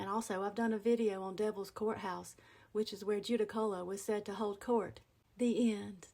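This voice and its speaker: A woman with an Appalachian accent, medium pitch, dark, mellow tone, monotone, flat intonation and moderate pace. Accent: Appalachian Southern US. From western North Carolina, USA. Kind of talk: casual talk to camera about dialect words. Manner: folksy, humorous.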